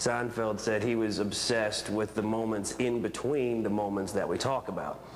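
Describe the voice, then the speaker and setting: A man with an American accent, moderate pace and very even loudness, amid noticeable background noise. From West Virginia. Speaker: stand-up comedian. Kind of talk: TV news interview answer.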